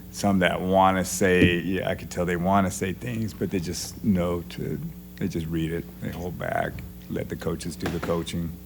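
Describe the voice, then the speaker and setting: Audible room echo and noticeable background noise surround a man's very deep, low voice. He talks at a moderate pace with ordinary pitch variation. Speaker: jiu-jitsu coach. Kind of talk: casual interview. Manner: doesn't carry, not loud.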